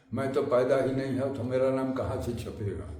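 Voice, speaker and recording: A man talks at a medium pitch in a space with audible room echo and noticeable background noise. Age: 80s+. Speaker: temple custodian, hereditary descendant of a saint's disciple. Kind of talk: explanatory talk to a visitor.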